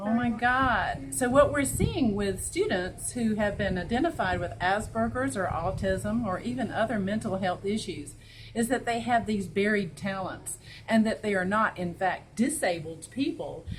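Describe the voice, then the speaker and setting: A woman with a Southern US accent talks at a moderate pace in a medium pitch, with some vocal fry. Room echo can be heard. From US South (North Carolina). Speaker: school principal and interviewer. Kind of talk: interview.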